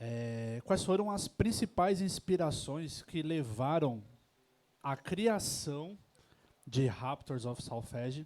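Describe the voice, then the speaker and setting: A man with a São Paulo accent and fairly high pitch, at a very slow pace. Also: lively intonation. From São Paulo, Brazil. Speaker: event host, interviewer. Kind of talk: live panel interview. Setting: tavern event with audience. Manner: hesitant, many fillers.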